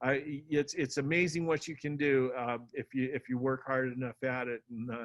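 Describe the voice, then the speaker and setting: At a moderate pace, a man talks with fairly even intonation and a medium pitch. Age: 60s. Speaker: local party chair and county candidate. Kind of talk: campaign speech at a meeting. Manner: halting, many fillers and restarts.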